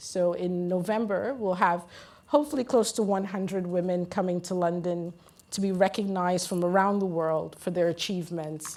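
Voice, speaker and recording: A woman's dark, mellow tone at medium pitch, with fairly even intonation and an American accent. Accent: sounds American. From Guyana. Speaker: women in mining advocate, panelist. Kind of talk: panel discussion. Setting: conference stage with audience.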